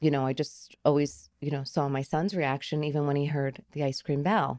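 In a New Jersey accent, a woman speaks with a very deep, low pitch and fairly even intonation. Her tone is dark and mellow. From New Jersey, Garfield. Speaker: ice cream truck business owner. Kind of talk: interview. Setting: studio. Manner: halting.

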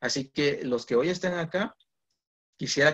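His voice comes across as somewhat breathy. This man speaks fairly high in pitch. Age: 20s. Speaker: guest preacher. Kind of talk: sermon. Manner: halting.

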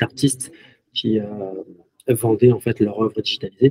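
Somewhat breathy speech at a fairly slow pace, fairly even in intonation, with a dry, close sound and no echo. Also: man. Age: 30s. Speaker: video game company co-founder. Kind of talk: interview.

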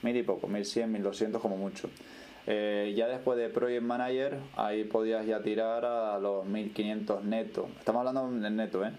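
Audible room echo follows a man with a Canarian accent whose intonation is fairly even. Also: medium pitch for a man, fairly slow pace. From Canary Islands, Tenerife (Puerto de la Cruz). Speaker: podcast guest, emigrant. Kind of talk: casual interview.

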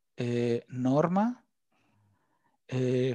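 A man with a Mexican accent speaks at a medium pitch with ordinary pitch variation and a dark, mellow tone, on a very clean recording with a silent background. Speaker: communications graduate, fitness dancer. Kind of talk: casual interview, personal life story. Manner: halting, many fillers.

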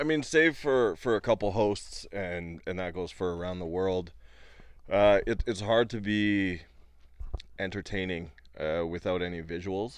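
Over a quiet background, a man with an ordinary speaking voice talks at a fairly slow pace and a fairly low pitch, with ordinary pitch variation. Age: 30s. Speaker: podcast co-host and comedian. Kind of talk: casual chat. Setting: home recording.

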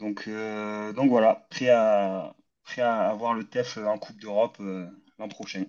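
Speaking at a very slow pace, a man with a fairly low pitch and monotone, flat intonation shows big swings in loudness. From Toulouse region, France. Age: 30s. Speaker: football podcast co-host. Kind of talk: casual debate.

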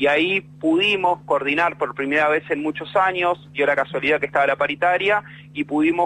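With a Rioplatense accent, a man speaks at a moderate pace in a fairly high pitch, his intonation fairly even. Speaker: bus worker, union delegate and writer. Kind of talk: interview.

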